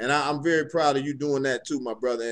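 Against a quiet background, a man with an ordinary speaking voice talks at a fairly high pitch and a fairly quick pace. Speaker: podcast co-host.

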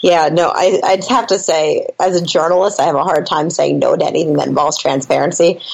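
A woman talks at a fairly quick pace with hardly any pauses and very even loudness. Noticeable background noise is present. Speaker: hockey reporter. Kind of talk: casual chat answering listener questions.

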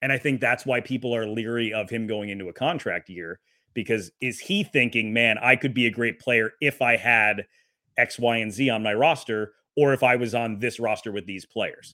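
In an American accent, an ordinary speaking voice keeps a moderate pace and ordinary pitch variation. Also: man, medium pitch for a man. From Wisconsin. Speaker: hockey play-by-play broadcaster. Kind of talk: casual chat.

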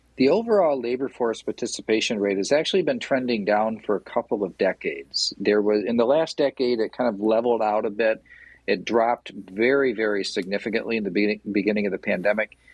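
A man with a Midwestern US accent, medium pitch, ordinary pitch variation and a fairly quick pace. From Michigan. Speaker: small business association CEO. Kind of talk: radio interview.

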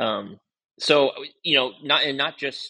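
A man's bright, sharp voice with an American accent against a quiet background. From Oregon coast, US Pacific Northwest. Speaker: golf course owner and head pro. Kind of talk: casual interview.

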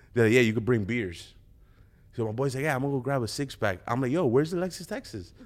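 At a very fast pace, a man speaks in a medium pitch with lively intonation. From US East Coast, New York area. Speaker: rapper. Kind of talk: casual interview chat. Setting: studio.

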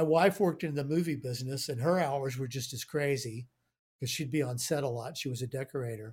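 A man with an American accent talks at a moderate pace, his fairly high pitch somewhat breathy and showing ordinary pitch variation. The recording is very clean with a silent background. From Houston, Texas. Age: 60s. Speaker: studio owner, producer and engineer. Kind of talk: casual interview chat.

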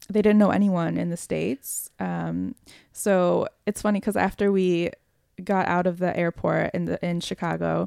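A woman talks at a fairly slow pace. The sound is dry and close with no echo, in a very clean recording with a silent background. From US (moved from Bulgaria at age three). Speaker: podcast guest sharing personal story. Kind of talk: casual interview.

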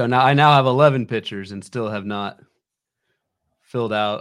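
A man talks at a fairly quick pace and a medium pitch, with ordinary pitch variation. It is a plain, everyday voice. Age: 30s. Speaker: fantasy baseball analyst. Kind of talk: live stream draft chat.

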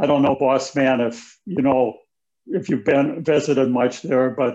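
A man with an American accent uses a plain, everyday voice at medium pitch and a fairly slow pace. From rural Wisconsin, US Midwest. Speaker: author and former real estate broker. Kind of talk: interview.

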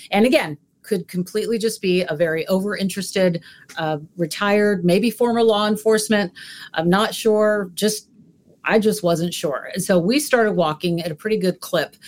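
A woman with an unremarkable speaking voice talks at a moderate pace, her medium pitch showing ordinary pitch variation. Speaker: TV journalist. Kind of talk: panel discussion.

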